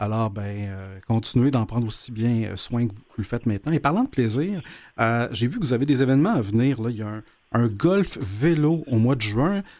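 The voice has a Quebec accent and lively intonation at a moderate pace. The recording is very clean, with a silent background. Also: man, medium pitch for a man. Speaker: radio host. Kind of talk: interview. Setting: studio.

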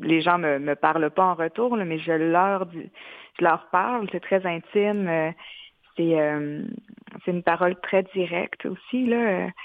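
A woman talks at a very slow pace. Her fairly low voice shows ordinary pitch variation. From Quebec, Mashteuiatsh community. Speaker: multidisciplinary artist. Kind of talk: interview. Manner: halting.

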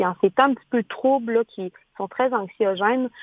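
A woman with a plain, everyday voice, moderate pace and ordinary pitch variation. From Quebec. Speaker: communications agency owner. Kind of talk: interview.

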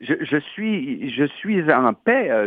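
With a Quebec accent, a man speaks at a high pitch. His pitch swings are very wide. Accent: Québécois French. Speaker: actor and playwright. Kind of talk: interview.

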